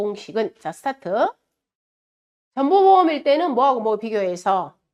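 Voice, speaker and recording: Very wide pitch swings run through a woman's high voice. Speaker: exam prep lecturer. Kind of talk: lecture.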